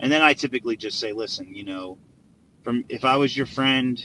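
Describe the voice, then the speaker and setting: Talking at a fairly quick pace, a man uses a bright, sharp tone and ordinary pitch variation. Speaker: real estate investor. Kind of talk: live stream tips. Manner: fast; halting.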